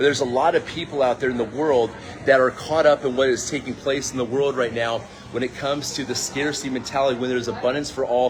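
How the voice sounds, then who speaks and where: With an American accent, a man rushes along at a very fast pace amid noticeable background noise. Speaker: crypto and network marketing promoter. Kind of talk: casual vlog talk. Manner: animated.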